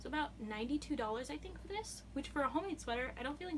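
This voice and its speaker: With audible room echo, a woman speaks at a very fast pace. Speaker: knitting vlogger. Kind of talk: casual show-and-tell vlog. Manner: hesitant, many fillers.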